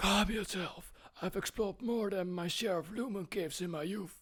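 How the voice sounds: A put-on character voice at a middle pitch and moderate pace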